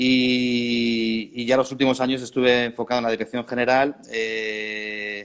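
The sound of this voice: At a fairly slow pace, a man with a Spanish accent speaks in a clear, smooth and fairly bright tone, his medium pitch moving very little. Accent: Peninsular Spanish.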